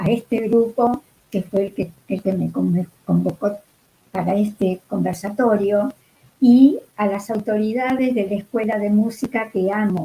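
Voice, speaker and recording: A woman speaks at a fairly slow pace. Her voice is somewhat breathy with a dark, mellow tone. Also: medium pitch for a woman, fairly even intonation. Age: 80s+. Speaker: music educator. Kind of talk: online talk.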